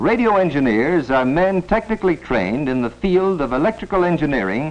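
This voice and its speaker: A man speaks over noticeable background noise. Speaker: film narrator. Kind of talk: educational film narration.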